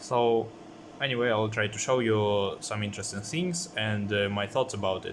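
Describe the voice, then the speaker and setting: With audible room echo, a man talks at a moderate pace in a fairly low pitch with ordinary pitch variation. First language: not English. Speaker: electronics hobbyist. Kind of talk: tutorial. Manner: halting, many fillers.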